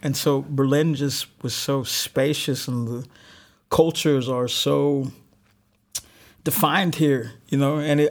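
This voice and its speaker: In a plain, everyday voice, a man speaks at a fairly high pitch with fairly even intonation. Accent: American. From Alabama, US South. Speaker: artist and musician. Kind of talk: casual interview.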